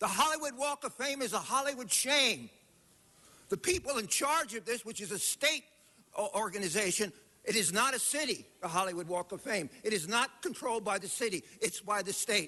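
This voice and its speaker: A man's raised, projected voice, high in pitch, with lively intonation at a moderate pace. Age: 70s. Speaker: public commenter. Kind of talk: public comment at council meeting. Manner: animated.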